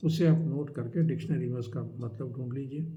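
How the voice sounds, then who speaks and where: A man speaks at a fairly high pitch in a dark, mellow, somewhat breathy tone. His pace is moderate, his pitch variation ordinary, and audible room echo surrounds him. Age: 60s. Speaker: life advice YouTuber. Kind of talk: advice talk to camera. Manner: conversational, with hesitations.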